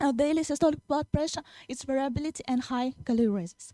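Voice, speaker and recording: A woman speaks with a Russian accent at a high pitch. Her tone is dark and mellow, with ordinary pitch variation. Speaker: young researcher presenting. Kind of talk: Q&A answers; conference presentation. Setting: conference hall. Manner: halting, many fillers.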